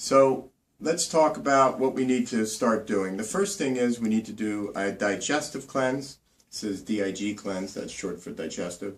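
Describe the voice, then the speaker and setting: With an American accent, a medium-pitched man talks at a moderate pace and with ordinary pitch variation. His loudness swings widely. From New Jersey. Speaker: naturopathic doctor. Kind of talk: health tips tutorial. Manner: casual, with many fillers.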